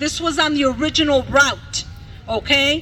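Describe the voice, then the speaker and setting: A woman's raised, projected, high-pitched voice over noticeable background noise. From Mexico, raised in Milwaukee from childhood. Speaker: bilingual teacher, rally speaker. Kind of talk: rally speech. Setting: outdoor rally in a park. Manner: impassioned.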